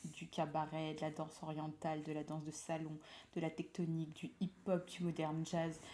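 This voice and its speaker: At a moderate pace, a woman with a very deep, low pitch speaks in a dark, mellow tone and a flat monotone. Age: 20s. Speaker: lifestyle vlogger and nurse. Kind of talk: casual vlog monologue. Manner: chatty, hesitant with frequent fillers.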